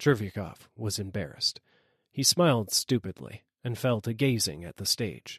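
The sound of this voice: Ordinary pitch variation runs through an unforced reading voice over a quiet background.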